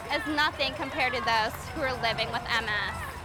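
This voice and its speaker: A woman speaks at a moderate pace in a high voice. Music plays in the background. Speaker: TV news reporter. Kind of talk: TV news report.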